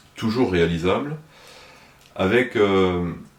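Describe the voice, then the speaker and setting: This man has a fairly low voice. His pitch varies in an ordinary way. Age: 60s. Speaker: municipal election candidate, retired fire officer. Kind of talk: interview. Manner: hesitant, many filler sounds.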